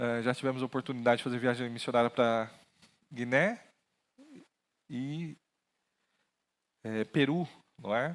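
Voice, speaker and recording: A man speaks at a medium pitch and a fairly slow pace with long, frequent pauses and fairly even intonation, in a very clean recording with a silent background. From interior of São Paulo state, Brazil. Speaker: pastor. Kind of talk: sermon. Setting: church with PA system.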